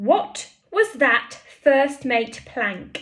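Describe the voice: A raspy, high-pitched put-on character voice from a woman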